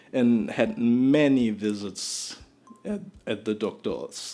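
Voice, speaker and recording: Music can be heard behind the speaker. He is a man with a medium pitch. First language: not English. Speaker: storytime vlogger. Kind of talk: storytelling monologue. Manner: halting, many repetitions and false starts.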